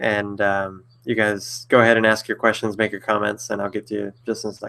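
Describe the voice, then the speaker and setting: The tone is bright and sharp, the pace fairly quick. Intonation stays monotone and flat. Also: man, fairly low pitch for a man. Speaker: author answering viewer questions. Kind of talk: live stream Q&A. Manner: fast; hesitant, many fillers.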